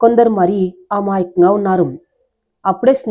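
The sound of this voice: The background is quiet. Over it comes an unforced reading voice.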